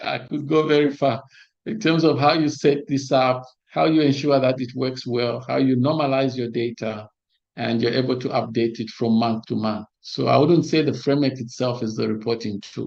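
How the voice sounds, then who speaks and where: Here a man speaks at a moderate pace. His medium pitch shows ordinary variation. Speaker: monitoring and evaluation trainer. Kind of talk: lecture. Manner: halting.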